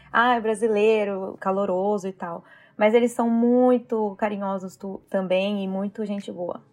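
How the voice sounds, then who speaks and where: A monotone, flat delivery with big swings in loudness. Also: woman, medium pitch for a woman, fairly slow pace. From Brazil, interior of São Paulo state. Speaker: Brazilian immigrant in Canada. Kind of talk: casual chat.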